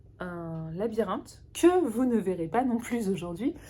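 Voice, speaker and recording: A woman speaks very slowly in a dark, mellow, somewhat breathy tone. Her pitch swings very widely. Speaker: knitting podcaster. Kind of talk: casual chat. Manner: halting.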